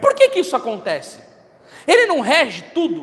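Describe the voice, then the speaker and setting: Over noticeable background noise, a man speaks in an animated tone with lively intonation. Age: 30s. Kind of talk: sermon.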